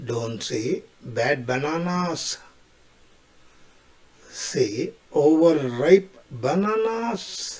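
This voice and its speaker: Very slow, with long, frequent pauses, a man speaks at a fairly high pitch that swings very widely over noticeable background noise. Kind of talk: short comedic English tips to camera.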